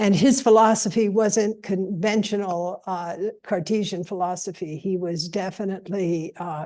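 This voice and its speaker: A woman's dark, mellow voice at medium pitch, moderate in pace with hardly any pauses and fairly even intonation, against a quiet background. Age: 80s+. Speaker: panelist at a scholarly symposium. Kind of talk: panel discussion. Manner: halting, many fillers and restarts.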